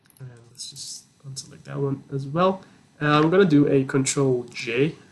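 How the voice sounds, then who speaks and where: Over noticeable background noise, a man speaks at a moderate pace and a fairly high pitch, with fairly even intonation and big swings in loudness. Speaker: product design tutorial creator. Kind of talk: software tutorial walkthrough. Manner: halting, many fillers.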